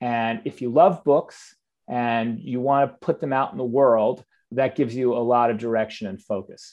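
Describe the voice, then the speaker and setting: This man has a normal speaking voice at a medium pitch, with ordinary pitch variation and a moderate pace. His loudness swings widely. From US Northeast, suburban New Jersey. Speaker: book publishing executive. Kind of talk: interview conversation.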